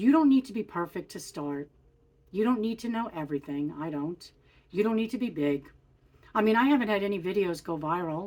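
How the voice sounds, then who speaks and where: With lively intonation and an unremarkable speaking voice, a woman talks at a fairly quick pace in a very clean recording with a silent background. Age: 60s. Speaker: lifestyle vlogger. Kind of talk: casual vlog talk to camera. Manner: casual, with frequent fillers.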